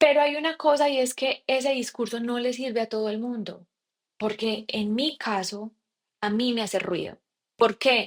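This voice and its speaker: Speaking in a paisa Colombian accent, a woman has a fairly high pitch, ordinary pitch variation and a moderate pace. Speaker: podcast host and coach. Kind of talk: solo podcast monologue. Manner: casual, with frequent fillers and self-corrections.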